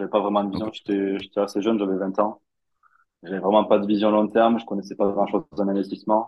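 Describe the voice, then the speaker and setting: In a monotone, flat intonation, a man talks at a very fast pace. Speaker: crypto investor. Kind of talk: interview.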